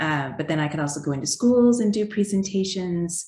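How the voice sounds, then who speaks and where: A woman with a slight Canadian accent talks at a moderate pace. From Canada. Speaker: children's book author. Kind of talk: interview.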